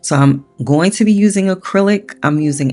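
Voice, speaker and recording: Music plays in the background. A woman speaks with very wide pitch swings. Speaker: art tutorial creator. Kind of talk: tutorial. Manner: casual, chatty.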